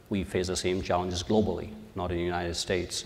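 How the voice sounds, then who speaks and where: At a fairly quick pace, a man with a very deep, low voice talks in a flat monotone, with audible room echo. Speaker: measurement science executive. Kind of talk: conference panel talk. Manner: halting, many fillers.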